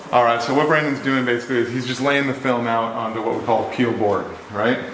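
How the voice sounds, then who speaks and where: Loud background noise runs behind a man speaking fairly quickly. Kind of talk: casual explanatory walkthrough. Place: garage. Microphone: phone near.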